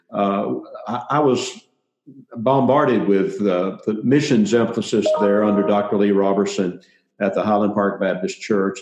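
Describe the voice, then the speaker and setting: The speaker has a Tennessee accent and ordinary pitch variation. Music plays in the background, and there is audible room echo. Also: man. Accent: Southern US (Tennessee). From US South, Middle Tennessee. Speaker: pastor. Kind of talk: interview.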